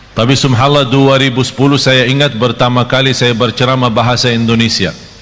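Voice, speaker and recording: The room echo is audible around this man's voice. He speaks at a medium pitch and a fairly quick pace. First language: Arabic (speaking Indonesian). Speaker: Islamic preacher. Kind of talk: sermon. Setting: live audience at religious gathering. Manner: animated.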